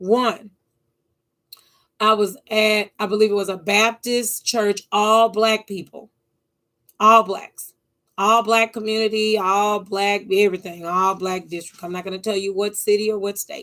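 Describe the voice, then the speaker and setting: A woman's flat, monotone delivery at a medium pitch and fairly slow pace, with big swings in loudness. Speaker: YouTuber. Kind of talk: monologue vlog. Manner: halting, repetitive stammers.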